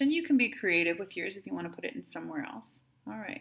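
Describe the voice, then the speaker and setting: This woman talks at a fairly quick pace with a Wisconsin accent. Her medium-pitched voice carries vocal fry. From Wisconsin, US. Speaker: math teacher. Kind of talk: tutorial.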